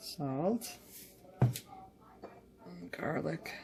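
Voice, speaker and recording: A woman's voice over music in the background. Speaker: home cooking vlogger. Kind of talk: cooking tutorial. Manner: casual, rambling.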